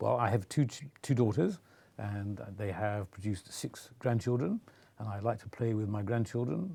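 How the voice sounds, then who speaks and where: A man with a fairly low pitch and a dark, mellow tone sounds somewhat breathy, speaking at a moderate pace with ordinary pitch variation. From England, Nottingham. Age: 70s. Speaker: Lord-Lieutenant, monarch's representative. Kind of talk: interview.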